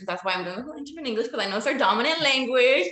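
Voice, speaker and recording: A woman speaks with an American accent at a fairly high pitch. Noticeable background noise runs behind her. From United States, Latin American background. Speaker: interviewer. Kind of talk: interview.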